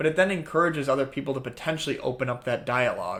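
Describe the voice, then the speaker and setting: A man talking at a very fast pace. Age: young. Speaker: men's self-improvement speaker. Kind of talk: podcast interview.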